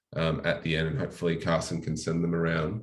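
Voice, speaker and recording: With an Australian accent, this man speaks at a fairly quick pace. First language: French. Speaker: local mayor. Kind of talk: presentation. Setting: online live-streamed seminar. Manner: many fillers (um, uh).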